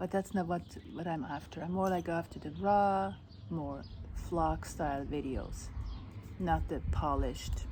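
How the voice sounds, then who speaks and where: A woman with a non-native accent speaks at a fairly slow pace. She takes long, frequent pauses. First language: not English. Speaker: vlogger. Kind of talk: casual vlog talk. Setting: outdoors at house sit. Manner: halting, with restarts.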